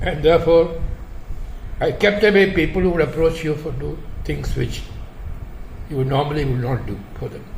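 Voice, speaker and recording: A man speaks at a fairly high pitch. Noticeable background noise can be heard. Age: 90s. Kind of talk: interview answer.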